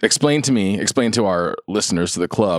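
A man with a fairly low pitch and an ordinary speaking voice uses lively intonation in a very clean recording with a silent background and a dry, close sound with no echo. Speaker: podcast host. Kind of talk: casual chat, interview.

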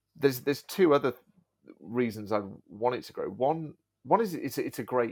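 Lively intonation in an English accent at a fairly quick pace, on a very clean recording with a silent background. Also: man. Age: 40s. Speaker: YouTuber and video agency owner. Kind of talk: casual chat. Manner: halting, repeats words.

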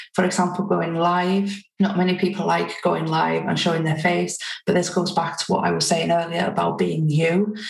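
A woman speaks with a Welsh accent at a very even loudness, hardly pausing, and the room echo can be heard. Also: moderate pace. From North Wales. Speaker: community strategist. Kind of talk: interview.

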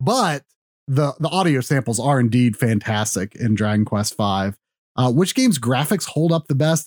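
An ordinary speaking voice, this man's sits at a medium pitch with lively intonation, very even loudness and a moderate pace, recorded with a dry, close sound with no echo. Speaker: podcast panelist.

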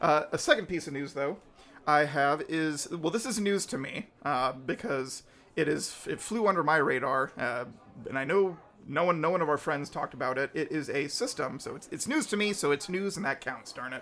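A plain, everyday voice from a man, fairly high-pitched, moderately paced, with lively intonation. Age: 30s. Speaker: podcast host. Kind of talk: casual chat.

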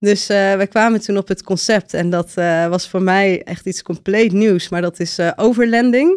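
A woman with an unremarkable speaking voice talks at a moderate pace with hardly any pauses. Her intonation is fairly even, and the sound is dry and close with no echo. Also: medium pitch for a woman. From Netherlands, Friesland village. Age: 30s. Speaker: volunteer traveller. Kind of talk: interview.

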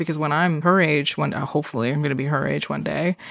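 Noticeable background noise sits behind this recording. A woman with a very deep, low pitch speaks at a very fast pace. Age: 20s. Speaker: podcast guest, education worker. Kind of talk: personal story in casual chat.

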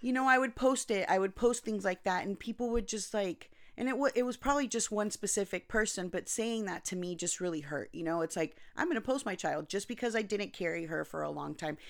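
With an American accent, a woman in an unremarkable speaking voice talks at a fairly quick pace, medium in pitch, with lively intonation and hardly any pauses. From Anaheim, California (Costa Rican parents). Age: 40s. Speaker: NICU parent. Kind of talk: casual chat. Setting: home.

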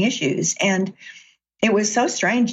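A somewhat breathy woman's voice with an American accent, fairly slow pace and ordinary pitch variation. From US South, Chattanooga, Tennessee. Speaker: author and executive coach. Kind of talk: interview conversation.

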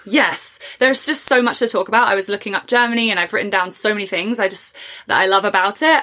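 With an English accent, a woman speaks in a bright, sharp tone at a fairly high pitch, her pitch varying in an ordinary way. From England. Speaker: podcast host. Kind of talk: casual interview chat.

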